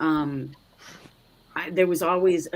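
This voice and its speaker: Her pitch fairly low, a woman speaks with a slight Canadian accent. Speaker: ex-pastor podcast host. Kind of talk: casual chat.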